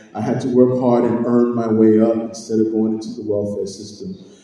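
Strong room echo surrounds a man speaking at a moderate pace. His intonation is monotone and flat. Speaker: candidate. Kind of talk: political speech. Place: hall. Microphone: camera far.

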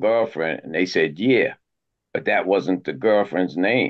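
A New York accent with ordinary pitch variation. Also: man. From Harlem, New York. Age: 60s. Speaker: criminal justice reform advocate. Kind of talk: podcast interview answer.

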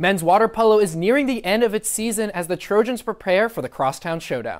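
Over a quiet background, a man talks at a fairly quick pace. His pitch is high, with ordinary variation. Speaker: sports reporter and anchor. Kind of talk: live TV sports reporting and studio sports talk. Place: studio. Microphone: lapel.

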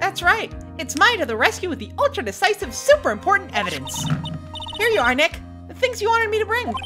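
Clear music plays in the background. Over it, a put-on character voice races along at a very fast pace. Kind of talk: comic game voice acting. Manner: bubbly, teasing, energetic.

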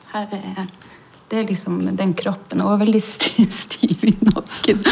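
A woman speaks very slowly at a medium pitch. Her intonation stays monotone and flat. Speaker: stage actor. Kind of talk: interview answer. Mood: reflective, warm. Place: hall.

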